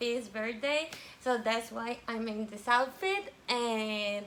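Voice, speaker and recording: Speaking at a very slow pace in a Spanish accent, a woman with a fairly high pitch and ordinary pitch variation is heard over noticeable background noise. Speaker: vlogger. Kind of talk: casual vlog chat. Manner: halting, many fillers.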